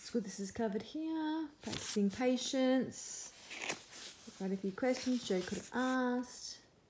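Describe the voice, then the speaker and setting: A woman's lively intonation comes through noticeable background noise as she talks at a moderate pace. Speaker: homeschooling parent reviewing books. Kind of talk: casual book flip-through review.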